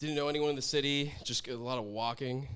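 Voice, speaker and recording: A man talks with a West Coast accent. Noticeable background noise runs under his voice. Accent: American West Coast. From US Pacific Northwest, Portland, Oregon. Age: 20s. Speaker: chef and social media creator. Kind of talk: casual podcast interview. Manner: casual, laid-back, lots of filler.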